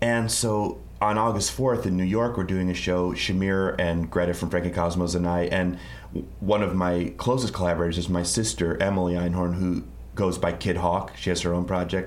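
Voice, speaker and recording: Room echo is audible as a man talks at a moderate pace. His pitch is very deep and low, and his loudness stays very even. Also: ordinary pitch variation. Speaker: musician and songwriter. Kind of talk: interview.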